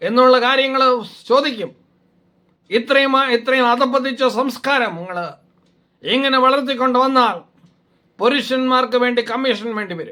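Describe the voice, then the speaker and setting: Raising and projecting his voice, a man speaks at an extremely high pitch with a bright, sharp tone and fairly even intonation. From Kerala, Kottarakkara (Kollam). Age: 60s. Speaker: doctor and video blogger. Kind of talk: opinion monologue. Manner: halting.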